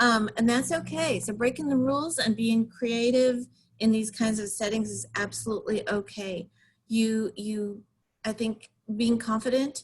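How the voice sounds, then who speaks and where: Fairly high in pitch and somewhat breathy, a woman speaks with fairly even intonation. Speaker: facilitation trainer. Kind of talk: webinar presentation.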